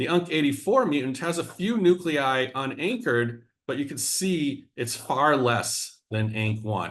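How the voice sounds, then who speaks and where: Speaking fairly slowly in a plain, everyday voice, a man with a fairly high pitch leaves hardly any pauses. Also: lively intonation. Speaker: biology professor. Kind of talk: scientific seminar lecture. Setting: video call.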